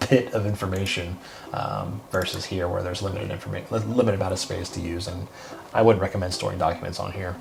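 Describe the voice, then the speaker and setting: A man speaks very fast in a very deep, low voice with fairly even intonation. Noticeable background noise runs under him. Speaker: CRM consultant. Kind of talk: software tutorial walkthrough. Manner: whispered, soft-spoken; casual, hesitant.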